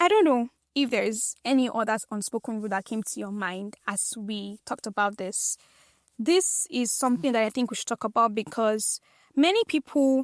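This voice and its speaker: A woman speaks at a moderate pace in an animated tone, her fairly high voice showing ordinary pitch variation. The recording is very clean, dry and close, with no echo and a silent background. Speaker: podcast host. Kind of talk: solo podcast monologue.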